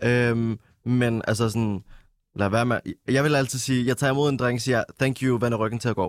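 A man speaks at a medium pitch and a moderate pace, with fairly even intonation and very even loudness. His is a plain, everyday voice. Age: 20s. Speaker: musician and nightlife worker. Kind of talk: casual chat.

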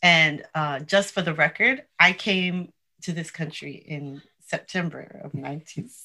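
A woman's very slow speech with an American accent, fairly low in pitch, with ordinary pitch variation and a bright, sharp tone. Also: big swings in loudness. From New York. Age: 50s. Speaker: podcast host. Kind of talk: interview.

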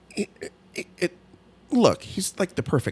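A man with vocal fry at a moderate pace, in a dry, close sound with no echo. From Italian-American. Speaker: podcast co-host. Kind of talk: casual chat.

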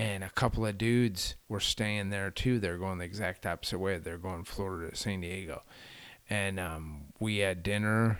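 A man with a plain, everyday voice speaks at a moderate pace in a fairly low pitch and fairly even intonation, on a very clean recording with a silent background. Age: 40s. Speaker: long-distance cycle tourist. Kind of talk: casual chat.

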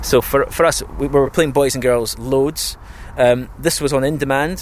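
A man with a Scottish accent at medium pitch, in fairly even intonation. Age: 30s. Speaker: radio imaging producer. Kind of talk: casual interview. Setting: outdoors.

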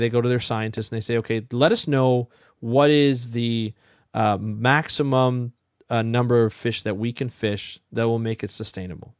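In a Canadian accent, a man with an unremarkable speaking voice talks at a moderate pace in a medium pitch with fairly even intonation, on a very clean recording with a silent background. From Ontario, Canada. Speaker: marine ecologist, podcast host. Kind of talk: interview.

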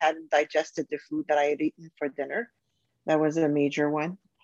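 The speaker is a woman. The sound is dry and close with no echo. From Canada. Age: 50s. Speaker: business owner and health coaching client. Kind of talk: testimonial interview. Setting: call. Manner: halting.

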